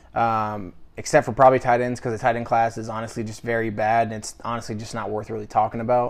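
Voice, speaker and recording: The speaker rushes at a very fast pace with hardly any pauses, monotone, flat intonation and big swings in loudness against a quiet background. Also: man, medium pitch for a man. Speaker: sports podcast co-host. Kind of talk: casual chat.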